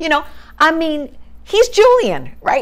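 Very wide pitch swings run through this woman's speech. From US Northeast (New York State). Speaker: civil rights activist; interviewee. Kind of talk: oral history interview. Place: home room.

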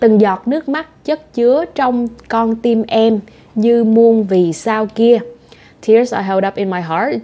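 This voice speaks with a Vietnamese accent and lively intonation. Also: woman. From Southern Vietnam. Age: 20s. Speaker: language teacher. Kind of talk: language lesson talk to camera. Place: home room.

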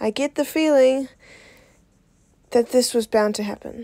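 Heard dry and close with no echo on a very clean recording with a silent background, the voice has a dark, mellow tone and fairly even intonation. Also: woman. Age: 20s. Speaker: spoken word artist. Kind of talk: spoken word poetry performance.

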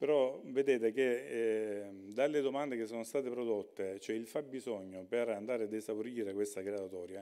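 A man with a dark, mellow tone talks at a moderate pace in a fairly low pitch, with fairly even intonation. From Salento, Lecce area. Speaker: regional government official. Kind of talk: conference talk.

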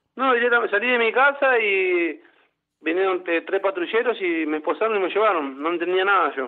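A man's high-pitched voice at a moderate pace. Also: lively intonation. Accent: Rioplatense. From Buenos Aires, Argentina. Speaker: former footballer. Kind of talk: radio interview.

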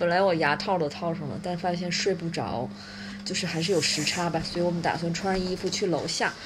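Through noticeable background noise, a woman with a fairly low pitch talks at a fairly quick pace, her intonation fairly even. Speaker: family travel vlogger. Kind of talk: casual vlog chat. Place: home room. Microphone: phone near.

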